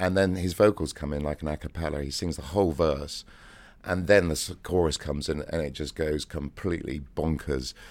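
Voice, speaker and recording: A man with a very deep, low voice speaks at a fairly quick pace. His intonation is fairly even, with vocal fry. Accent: English. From England. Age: 50s. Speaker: DJ. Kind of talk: interview.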